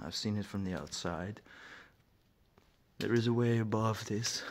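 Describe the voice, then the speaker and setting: Against noticeable background noise, a man talks at a fairly slow pace. His pitch varies in an ordinary way. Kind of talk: casual vlog narration while exploring. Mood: quiet, slightly uneasy. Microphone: phone near.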